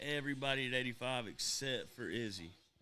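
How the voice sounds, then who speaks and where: A man speaks with a bright, sharp tone. Audible room echo surrounds his voice. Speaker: live stream host. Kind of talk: casual chat.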